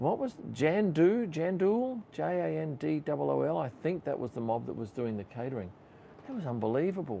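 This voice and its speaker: The tone is dark and mellow, with an Australian accent. Delivery moves at a moderate pace. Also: man. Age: 60s. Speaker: F1 photographer and YouTuber. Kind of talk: live stream Q&A chat. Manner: casual, conversational.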